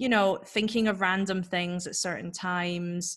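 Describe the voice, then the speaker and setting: A woman speaks at a fairly low pitch. The background is quiet. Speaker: freelance writer and author. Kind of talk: casual interview chat. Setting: video call. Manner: fast talker; animated. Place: home room. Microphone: video call.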